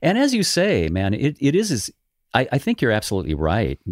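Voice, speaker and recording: An American accent with very wide pitch swings at a moderate pace, in a dry, close sound with no echo. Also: man. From Los Angeles, California. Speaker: tribute band manager and musician. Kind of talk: casual interview.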